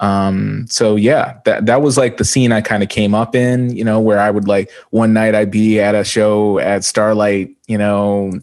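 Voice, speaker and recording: Delivery is fairly slow with hardly any pauses, fairly even intonation and very even loudness. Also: man, fairly low pitch for a man. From Canada, Edmonton. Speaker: rapper. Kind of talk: interview. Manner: chill, flat, monotone delivery.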